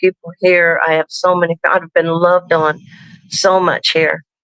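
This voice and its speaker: Speaking fairly slowly with an American accent, a woman uses a bright, sharp tone at a fairly low pitch, her intonation monotone and flat, and the sound dry and close with no echo. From Piqua, Ohio (US Midwest). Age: 70s. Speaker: author and wedding officiant. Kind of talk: casual interview chat. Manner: frequent fillers and restarts.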